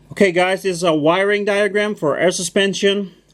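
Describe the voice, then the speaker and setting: On a very clean recording with a silent background, a man with a Dutch accent speaks at a high pitch and a moderate pace. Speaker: car mechanic. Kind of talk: tutorial. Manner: casual.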